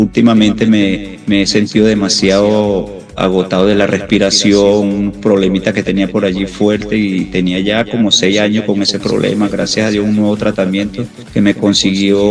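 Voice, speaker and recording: Music plays in the background behind a man. His fairly low pitch stays in a monotone, flat intonation. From Venezuela. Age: 60s. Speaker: retired pro cyclist, masters racer. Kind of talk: interview.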